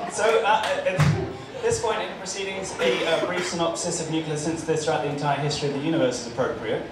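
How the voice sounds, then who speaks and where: Over loud background noise and audible room echo, a man talks at a very fast pace in a high pitch, with hardly any pauses. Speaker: stand-up comedian and nuclear physicist; stand-up comedian. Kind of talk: stand-up comedy routine with jokes and anecdotes. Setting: stage with live audience at a pub. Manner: deadpan, self-deprecating, with a humorous storytelling delivery and frequent pauses; halting, with many filler words and restarts. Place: bar.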